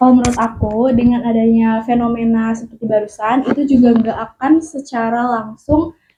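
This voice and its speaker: A woman with a dark, mellow tone and a fairly high pitch talks at a moderate pace in a monotone, flat way, with hardly any pauses. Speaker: cast member on a podcast. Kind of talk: casual podcast discussion.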